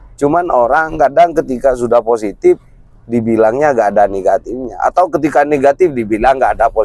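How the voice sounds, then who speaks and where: A man speaks at a fairly quick pace, his pitch medium with ordinary variation. The sound is dry and close with no echo, and his loudness stays very even. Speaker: vlogger. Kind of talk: casual chat.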